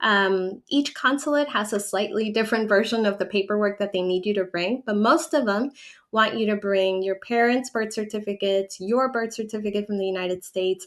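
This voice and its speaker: Hardly pausing, a woman with a Spanish accent talks at a medium pitch with ordinary pitch variation. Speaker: relocation advisor and channel owner. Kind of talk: livestream Q&A. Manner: conversational with frequent fillers.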